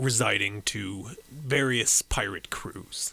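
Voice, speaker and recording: Putting on a character voice, a man talks at a medium pitch and a very slow pace. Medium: actual play. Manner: formal, measured.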